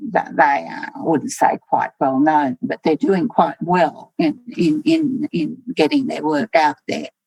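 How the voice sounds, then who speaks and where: A woman with an Australian accent speaks at a fairly low pitch with very wide pitch swings, in a dry, close sound with no echo. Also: fairly slow pace. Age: 80s+. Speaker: poet and artist. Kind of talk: interview. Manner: halting.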